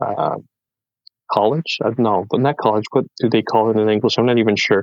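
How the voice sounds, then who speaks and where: In a French Canadian accent, a man talks at a fairly quick pace with very even loudness, the sound dry and close with no echo. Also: medium pitch for a man, ordinary pitch variation. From French Canada. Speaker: podcast guest, content creator. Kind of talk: casual interview chat, life story.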